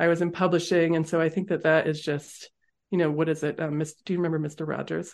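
Against a quiet background, a woman with an American accent talks at a very fast pace in a fairly low pitch. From US Northeast (Massachusetts). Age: 40s. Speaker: author and business founder. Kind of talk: interview conversation.

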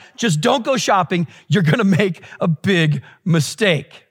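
A man speaks with ordinary pitch variation. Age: 50s. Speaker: pastor. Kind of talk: sermon.

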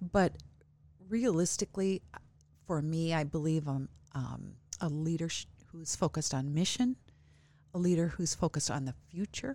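In a very clean recording with a silent background, a woman with a fairly low pitch and a dark, mellow tone talks at a moderate pace, leaving long, frequent pauses. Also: lively intonation. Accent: American. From US Midwest, small farming town. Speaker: college president. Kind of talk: interview. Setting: studio.

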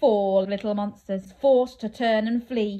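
At a fairly slow pace, a woman speaks at medium pitch with a dark, mellow tone and fairly even intonation.

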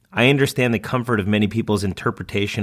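Fairly low in pitch and fairly even in intonation, this man has an unremarkable speaking voice, captured on a very clean recording with a silent background. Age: 30s. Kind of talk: reading aloud.

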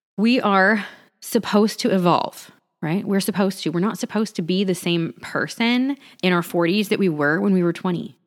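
A woman speaks at medium pitch with ordinary pitch variation. Her tone is animated. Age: 40s. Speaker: wellness podcast host. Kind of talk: casual monologue.

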